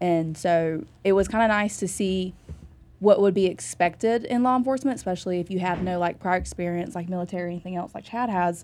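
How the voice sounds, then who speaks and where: A woman with an American accent speaks in a normal speaking voice at medium pitch, keeping a fairly quick pace and ordinary pitch variation. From North Carolina, Iredell County. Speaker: sheriff's deputy. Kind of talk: interview.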